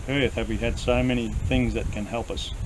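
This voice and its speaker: A man talks at a fairly quick pace in an Australian accent. Noticeable background noise and audible room echo are present. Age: 60s. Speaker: farmer. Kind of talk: casual chat.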